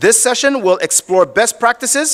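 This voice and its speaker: Loud and dry, with a close sound and no echo, a man talks at a moderate pace with lively intonation. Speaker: event emcee. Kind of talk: event hosting, introducing panel. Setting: stage at business summit with audience.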